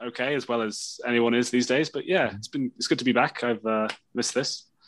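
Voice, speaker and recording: This man has a plain, everyday voice at medium pitch. He talks at a fairly quick pace. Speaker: podcast guest. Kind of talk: casual chat.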